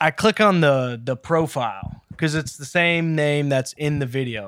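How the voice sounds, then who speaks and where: A man speaks at a moderate pace with ordinary pitch variation. The sound is dry and close, with no echo. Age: 20s. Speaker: podcast co-host. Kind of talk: casual chat. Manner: animated.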